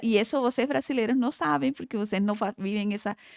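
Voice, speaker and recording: A woman with a Colombian accent speaks with ordinary pitch variation in a very clean, silent-background recording that sounds dry and close with no echo. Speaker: oral surgeon and facial aesthetics professor. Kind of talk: podcast interview.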